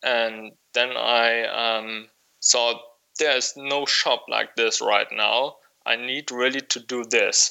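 A man's monotone, flat intonation at a very slow pace, in a German accent. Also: medium pitch for a man. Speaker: wool clothing shop owner. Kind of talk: interview. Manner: halting, many fillers.

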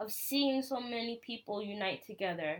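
A woman with a normal speaking voice and an American accent talks at a fairly slow pace with fairly even intonation. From US. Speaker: podcast host. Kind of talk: personal monologue.

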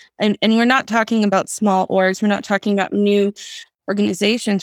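The delivery is monotone with flat intonation in a very clean recording against a silent background. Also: woman. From US, Greek-American family. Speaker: research firm CEO. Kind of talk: podcast interview.

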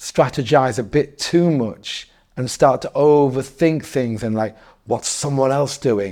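This voice has a northeast English accent and a dark, mellow tone, moving at a fairly slow pace with ordinary pitch variation. The recording is very clean, with a silent background. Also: man. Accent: northeast English, County Durham. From northeast England, Darlington. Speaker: DJ, hip hop journalist and promoter. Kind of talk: casual interview. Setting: in person, in a room.

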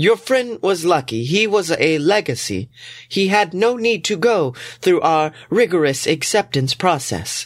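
On a very clean recording with a silent background, a man puts on a robotic character voice, high-pitched and calm in tone, at a moderate pace. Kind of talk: comic audio drama. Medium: audio drama. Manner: calm, formal, literal-minded.

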